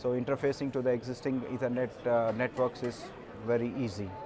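Speaking at a moderate pace, a man keeps a medium pitch.

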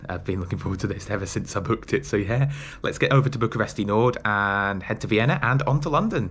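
A man speaks very fast. His intonation is lively. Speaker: travel vlogger. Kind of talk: casual vlog chat. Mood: cheerful, looking forward. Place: home room. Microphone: phone near.

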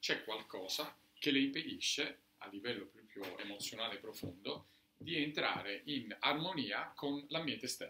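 A man's fairly high, bright, sharp voice at a moderate pace, with lively intonation, big swings in loudness, audible room echo and light background noise. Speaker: doctor; presenter. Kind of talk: lecture with live demonstration; lecture. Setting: bookshop talk with audience. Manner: halting. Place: shop. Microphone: camera far.

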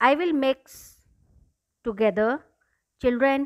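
A woman's high-pitched voice against a quiet background. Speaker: teacher. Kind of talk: tutorial. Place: kitchen.

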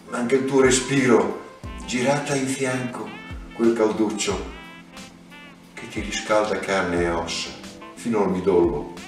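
A man's voice carries audible room echo, with music clearly playing in the background. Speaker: poetry reader. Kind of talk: poetry reading, Italian translation. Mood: tender, melancholic. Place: home room.

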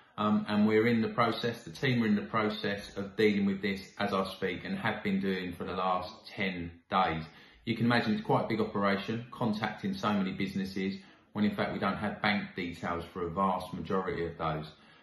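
A man with a fairly low pitch talks at a fairly quick pace, his intonation fairly even, with audible room echo. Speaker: local council official. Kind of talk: public update address. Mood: calm, reassuring, earnest. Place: home room. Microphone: phone near.

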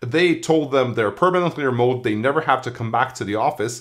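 A man with lively intonation at a fairly quick pace, over a quiet background. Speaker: tech newsletter writer. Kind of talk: commentary. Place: home room.

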